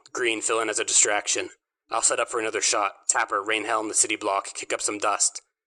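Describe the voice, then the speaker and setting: Someone races along in a strained put-on character voice, recorded dry and close with no echo. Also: man, medium pitch for a man. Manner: giving tense orders.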